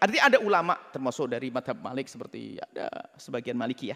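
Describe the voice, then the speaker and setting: The intonation is lively. The pace is very fast. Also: man. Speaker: Islamic scholar giving a religious ruling. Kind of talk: religious lecture answering a question.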